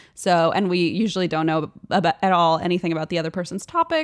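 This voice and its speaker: On a very clean recording with a silent background, a woman with a fairly low voice talks at a fairly quick pace. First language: German. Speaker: podcast co-host guest. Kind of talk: casual chat.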